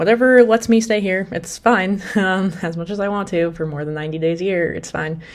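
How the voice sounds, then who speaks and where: A fairly quick pace with hardly any pauses and ordinary pitch variation. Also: woman, medium pitch for a woman. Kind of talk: casual talk to camera. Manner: fast.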